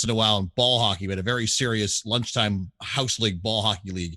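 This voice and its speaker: A loud man speaks in a Canadian accent with an enthusiastic, bright, sharp tone. The recording is very clean with a silent background and a dry, close sound with no echo. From England, then Toronto area, Canada. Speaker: sports broadcaster and arena announcer. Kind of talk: interview. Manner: loud, enthusiastic.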